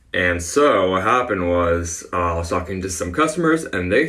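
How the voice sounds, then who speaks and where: Recorded with audible room echo, a man talks at a moderate pace, his fairly low voice bright and sharp in tone. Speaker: former retail worker. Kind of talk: casual storytime.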